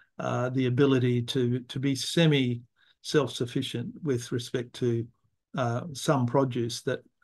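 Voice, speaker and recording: With an Australian accent, the speaker goes at a fairly slow pace in a monotone, flat intonation. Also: man, medium pitch for a man. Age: 70s. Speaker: environmental philosopher. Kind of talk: interview. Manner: halting.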